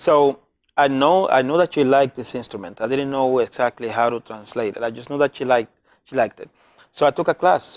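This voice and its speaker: This man talks fairly quickly in a Spanish accent, at a medium pitch with ordinary pitch variation and big swings in loudness. The recording is very clean with a silent background, and the sound is dry and close with no echo. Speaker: community health worker. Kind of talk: casual interview chat.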